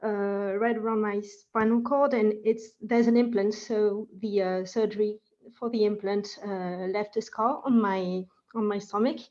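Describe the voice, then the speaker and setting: Her tone dark and mellow, a woman speaks at a fairly slow pace with a fairly high pitch and fairly even intonation. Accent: French. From France. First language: French. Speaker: participant. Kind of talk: online group discussion.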